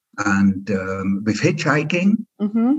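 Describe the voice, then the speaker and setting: A man with a Swiss German accent, lively intonation and a fairly slow pace. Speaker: keynote speaker and former tour guide. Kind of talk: casual chat. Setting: video call.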